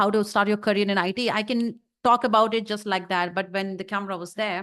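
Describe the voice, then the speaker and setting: A woman speaks with an Indian accent. She talks very fast in a flat monotone. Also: medium pitch for a woman. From North India. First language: Hindi. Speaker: YouTube content creator. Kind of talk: interview.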